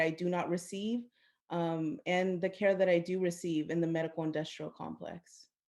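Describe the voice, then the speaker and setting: With a Spanish accent, a woman speaks in a fairly low pitch at a moderate pace. Her intonation is monotone and flat, on a very clean recording with a silent background. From US, Central American family. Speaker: maternal health program manager, panelist. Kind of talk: panel discussion.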